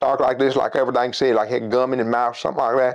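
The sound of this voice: A man mumbles very fast in a put-on character voice, complete with a strong Tennessee accent as part of the act. His pitch is medium, his intonation monotone and flat, and his loudness very even. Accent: heavy Tennessee.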